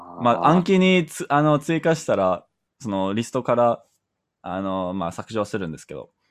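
A man with an English accent and very wide pitch swings, on a very clean recording against a silent background. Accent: English-accented Japanese. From Canada. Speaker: Japanese learner. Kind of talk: casual chat. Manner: halting.

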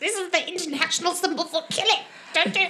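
This put-on character voice has an extremely high pitch and races along at a very fast pace. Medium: actual play. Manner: rambling, hesitant.

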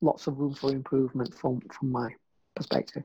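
A man does the talking. Dark and mellow is how his tone sounds.

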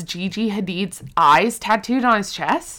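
A woman speaks loudly at a fairly slow pace, her fairly high-pitched voice bright and sharp in tone. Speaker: podcast co-host. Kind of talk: casual chat.

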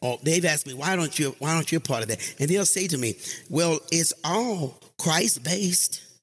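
Over music in the background, a man with a fairly high pitch talks with lively intonation and very even loudness. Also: moderate pace. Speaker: preacher. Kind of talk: sermon. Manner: halting.

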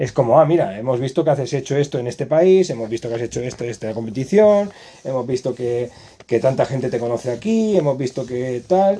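A man talks at a fairly quick pace in a medium-pitched voice with a dark, mellow tone. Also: lively intonation. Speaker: podcast host and physiotherapist. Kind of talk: casual interview chat.

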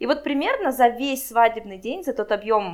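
A woman talks in a normal speaking voice. Her pace is moderate and her pitch varies in an ordinary way. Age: 20s. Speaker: wedding planner. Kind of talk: interview.

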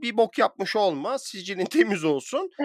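On a very clean recording with a silent background and a dry, close sound with no echo, a man speaks at a fairly slow pace with very wide pitch swings. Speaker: podcast host. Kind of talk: casual chat.

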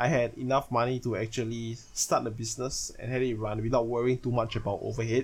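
The speech is very fast and somewhat breathy, delivered in monotone, flat intonation. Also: man, medium pitch for a man. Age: 20s. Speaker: podcaster and card game player. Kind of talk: solo monologue. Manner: casual, self-correcting.

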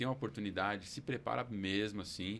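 Using an ordinary speaking voice, a man talks at a fairly quick pace with a fairly low pitch. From Brazil, São Paulo. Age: 30s. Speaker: preacher. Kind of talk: casual chat.

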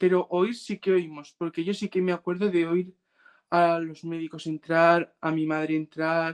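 A man speaks with a high pitch and a monotone, flat intonation. His pace is fairly slow against a quiet background. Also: dry, close sound with no echo. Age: 20s. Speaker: brain injury survivor and mental health advocate. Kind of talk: interview testimony. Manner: halting, repeats words.

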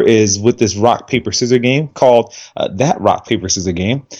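With a quiet background, a man with an ordinary speaking voice talks at medium pitch and a moderate pace, using ordinary pitch variation. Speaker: indie game developer. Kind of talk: casual chat.

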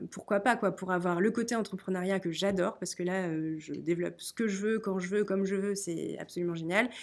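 A plain, everyday voice from a woman at medium pitch, fairly quick pace and ordinary pitch variation, on a very clean recording with a silent background. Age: 30s. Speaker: author and guesthouse owner. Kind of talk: storytelling; interview.

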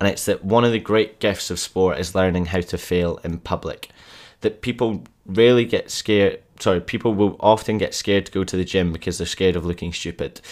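A man's fairly low voice at a fairly quick pace, with fairly even intonation, in a very clean recording with a silent background. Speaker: fitness coach podcaster. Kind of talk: solo podcast monologue with pep talk. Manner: passionate, urgent, motivational; direct, emphatic, hard-truth delivery.

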